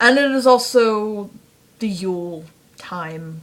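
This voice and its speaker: A woman is speaking. Her intonation is lively. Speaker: fanfiction reviewer vlogger. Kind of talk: casual vlog monologue. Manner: rambling with fillers.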